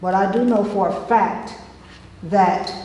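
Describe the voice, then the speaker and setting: A woman's medium-pitched voice in an American accent, flat and monotone, with audible room echo and noticeable background noise. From Florida. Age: 60s. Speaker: resident speaking at public comment. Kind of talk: public comment at town meeting. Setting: town commission meeting.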